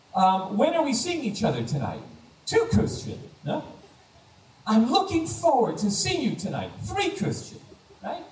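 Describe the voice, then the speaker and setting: A man with an American accent speaks at a moderate pace in an extremely high voice. His pitch swings very widely, and there is noticeable background noise. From United States. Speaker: stand-up comedian. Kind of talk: stand-up comedy set.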